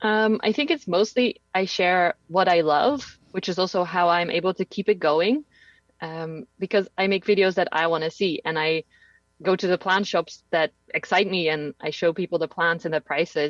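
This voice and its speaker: Recorded dry and close with no echo, a woman with a Dutch accent speaks at a moderate pace in a fairly low pitch with ordinary pitch variation. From Netherlands. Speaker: plant content creator. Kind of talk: podcast interview. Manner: loud and bouncy.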